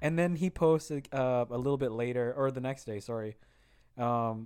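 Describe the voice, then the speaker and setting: Here is a man with a normal speaking voice and fairly even intonation. His pitch is medium and his pace moderate. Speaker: podcast co-host. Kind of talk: casual chat.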